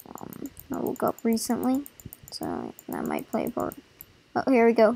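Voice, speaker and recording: A woman speaks at a fairly slow pace with long, frequent pauses and big swings in loudness. Music plays in the background. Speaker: gaming video creator. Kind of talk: gameplay commentary. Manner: hesitant, many fillers.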